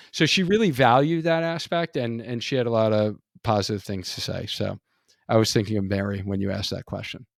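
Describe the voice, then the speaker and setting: Dry, close sound with no echo on a man's medium-pitched voice. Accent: New York. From New York. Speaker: physical therapist and run coach, podcast host. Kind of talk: casual interview chat.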